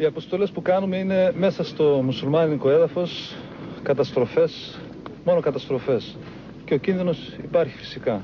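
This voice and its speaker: Noticeable background noise behind a man's fairly high-pitched voice. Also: ordinary pitch variation, moderate pace. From Greece, Evros (Thrace). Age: 20s. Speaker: volunteer fighter. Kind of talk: field interview.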